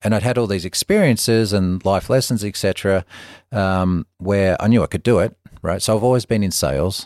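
In an Australian accent, a man with a fairly low pitch and a relaxed tone talks at a fairly quick pace with ordinary pitch variation, the sound dry and close with no echo on a very clean recording with a silent background. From Melbourne, Australia. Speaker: spa company businessman. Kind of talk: casual interview chat. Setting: in person, Bozeman. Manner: conversational, relaxed.

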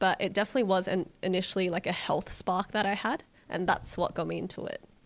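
A woman with an Australian accent, fairly quick pace and fairly even intonation, in a very clean recording with a silent background. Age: 20s. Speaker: vegan cook and cookbook author. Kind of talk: casual interview chat.

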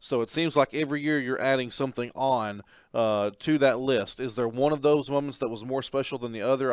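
Very fast, fairly evenly intoned speech from a man at medium pitch. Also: very clean recording, silent background. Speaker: college sports podcast host. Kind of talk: sports podcast chat and interview. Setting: studio.

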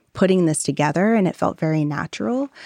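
Speaking at a fairly quick pace, a woman with an American accent uses lively intonation and a fairly low pitch in a normal speaking voice. The sound is dry and close with no echo, over a quiet background. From US Northeast, southeastern Connecticut. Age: 30s. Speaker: social entrepreneur. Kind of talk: live interview.

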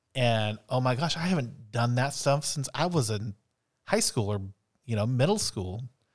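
On a very clean recording with a silent background, a man speaks in a plain, everyday voice at a medium pitch and moderate pace, with lively intonation. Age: 40s. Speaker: teacher and podcast co-host. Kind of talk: casual chat. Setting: studio.

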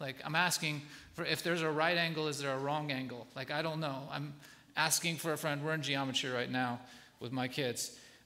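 In a room with audible echo, a man speaks at a moderate pace with a bright, sharp tone and fairly high pitch. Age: 40s. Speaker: guest pastor. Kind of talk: sermon. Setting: church stage with congregation.

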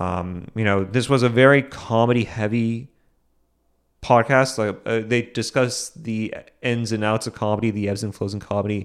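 A man with a plain, everyday voice speaks in an American accent at medium pitch and a moderate pace. His intonation stays fairly even, and the recording is very clean with a silent background. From Boston. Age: young. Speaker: comedian and podcast host. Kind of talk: solo podcast monologue.

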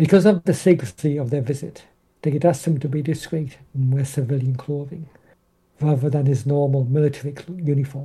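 Pitched fairly high, a man speaks with a dark, mellow tone. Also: fairly even intonation. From northeast England, Durham. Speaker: indie author. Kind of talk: casual interview.

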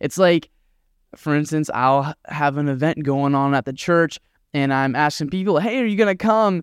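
On a very clean recording with a silent background and a dry, close sound with no echo, a man with a normal speaking voice talks at a fairly high pitch and moderate pace, with ordinary pitch variation. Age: 20s. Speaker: podcast host and youth minister. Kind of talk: devotional talk.

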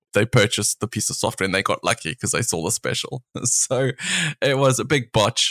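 The voice has a bright, sharp tone and vocal fry. It moves at a fairly quick pace with ordinary pitch variation. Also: man, medium pitch for a man. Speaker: podcast co-host, online business owner. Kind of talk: casual chat. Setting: remote recording.

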